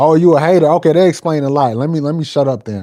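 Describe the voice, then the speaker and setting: A man's dark, mellow tone at a fairly quick pace. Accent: American. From East Texas. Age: 20s. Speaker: streamer. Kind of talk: live stream chat. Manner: animated; casual.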